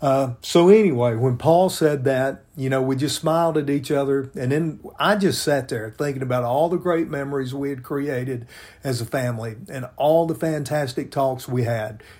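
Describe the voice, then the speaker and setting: A man speaks with an American accent in an unremarkable speaking voice. His pace is moderate and his pitch varies in an ordinary way. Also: fairly high pitch for a man. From US South, Memphis, Tennessee. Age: 60s. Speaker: podcast co-host, pastor, army veteran. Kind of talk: casual chat.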